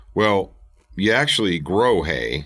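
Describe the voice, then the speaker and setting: Over a quiet background, a man with a very deep, low pitch and vocal fry talks at a fairly slow pace. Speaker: podcast host. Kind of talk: motivational podcast talk.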